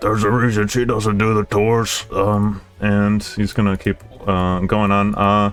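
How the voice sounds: The clip is delivered in a natural reading voice.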